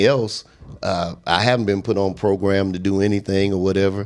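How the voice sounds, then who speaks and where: A man with a fairly low pitch and an ordinary speaking voice talks at a moderate pace. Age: 60s. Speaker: pastor. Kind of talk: casual chat.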